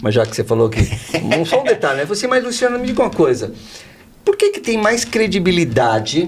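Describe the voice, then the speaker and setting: The man's pitch swings very widely. His tone is animated. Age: 60s. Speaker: insurance company founder. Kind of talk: podcast interview.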